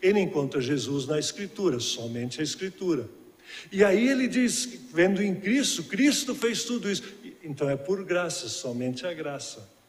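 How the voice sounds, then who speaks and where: In a room with audible echo, a man speaks at a moderate pace in a high voice with very wide pitch swings. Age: 60s. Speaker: guest preacher. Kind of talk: sermon. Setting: church.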